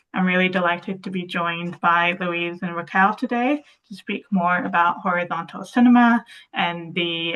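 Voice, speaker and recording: A woman talks at a moderate pace in a fairly low pitch with ordinary pitch variation. She has an unremarkable speaking voice. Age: 20s. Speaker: access consultant, webinar host. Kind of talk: webinar hosting. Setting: video call.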